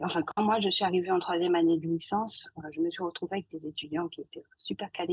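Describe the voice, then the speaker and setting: This is an ordinary speaking voice with fairly even intonation. The sound is dry and close, with no echo. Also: woman. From Guadeloupe. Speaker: scientist. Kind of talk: podcast interview.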